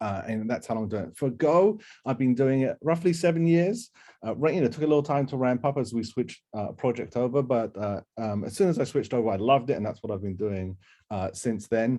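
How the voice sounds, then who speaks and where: With a dark, mellow tone and lively intonation, a man speaks at a medium pitch and a fairly quick pace. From UK. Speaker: software developer and workshop instructor. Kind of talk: online workshop presentation. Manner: many filler words and repetitions.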